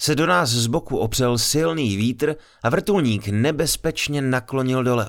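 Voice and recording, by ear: Someone reads aloud, using a natural voice.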